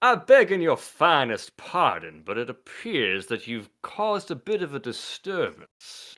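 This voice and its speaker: A man's put-on character voice, high in pitch and drawling, at a moderate pace with hardly any pauses, on a very clean recording with a silent background. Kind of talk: overly polite, archaic. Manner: slow, drawling.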